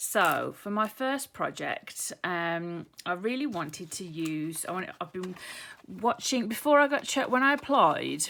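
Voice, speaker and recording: A bright, sharp voice with a British accent and very wide pitch swings, in a very clean recording with a silent background. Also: woman, medium pitch for a woman. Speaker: craft YouTuber. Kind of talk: tutorial. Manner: hesitant, many ums.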